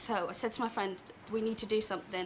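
A woman with a West Country accent speaks at a fairly quick pace and a fairly high pitch, with fairly even intonation. There is noticeable background noise. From Plymouth. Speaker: student; chat show audience member telling a story.

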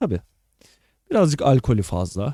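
A man's dark, mellow voice of medium pitch, with very wide pitch swings, dry and close with no echo, over a very clean recording with a silent background. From Balkan-rooted family, Turkey. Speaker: podcast host and streamer. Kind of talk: casual solo livestream chat. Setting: live stream recording. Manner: casual, filler-heavy.

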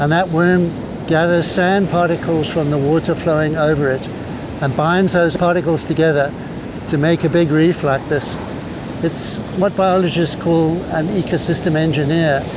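At a moderate pace and very even loudness, the monotone, flat voice sounds dry with no echo, though noticeable background noise is present. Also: man. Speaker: presenter. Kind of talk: tutorial. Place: beach.

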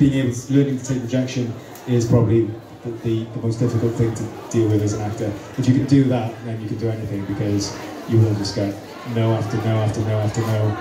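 A man speaks with noticeable background noise and audible room echo. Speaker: actor answering fan questions. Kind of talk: Q&A panel answers. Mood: relaxed, friendly, laughing. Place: hall. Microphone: pa.

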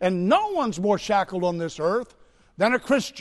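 Against a quiet background, a man speaks with a high pitch. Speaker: preacher. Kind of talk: sermon. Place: church.

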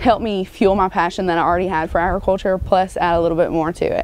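Speaking with an Arkansas accent, a woman keeps a fairly quick pace and fairly even intonation in a dry sound with no echo. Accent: Southern US (Arkansas). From US South, Arkansas. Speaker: college student. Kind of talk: interview. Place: farm.

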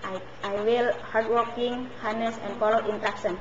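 Over noticeable background noise, a woman with an Indonesian accent speaks at a fairly high pitch in a monotone, flat intonation. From Indonesia, West Java. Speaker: domestic helper job applicant. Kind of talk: job interview. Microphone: webcam.

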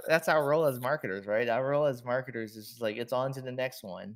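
A man with a plain, everyday voice speaks at a fairly quick pace and medium pitch. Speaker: marketing executive. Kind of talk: interview.

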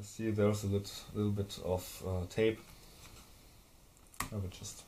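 With a slight German accent, a man speaks fairly slowly in a dark, mellow, somewhat breathy tone. His pitch is fairly low and his intonation fairly even. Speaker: hardware tinkerer. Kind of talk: casual tutorial talk to camera. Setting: recorded on camera mic. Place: workshop. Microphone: camera far.

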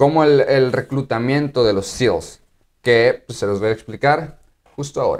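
A man with a Mexican accent speaks at a fairly slow pace against a quiet background. His pitch is medium, with ordinary variation. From Mexico. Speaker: YouTuber and active-duty Marine; YouTuber. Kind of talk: casual vlog explainer. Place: home room.

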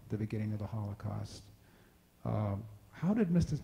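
Somewhat breathy, a man speaks with a dark, mellow tone and ordinary pitch variation. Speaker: college president; forum moderator. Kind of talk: welcome remarks. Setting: stage with audience. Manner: halting. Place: hall. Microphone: pa.

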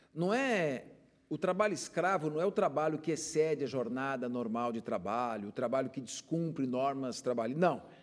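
A man with an unremarkable speaking voice talks at a moderate pace, fairly high in pitch, with lively intonation. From São Paulo city, Brazil; Brazil. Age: 50s. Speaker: public prosecutor and consumer agency director; guest. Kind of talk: TV interview. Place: studio. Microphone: lapel.

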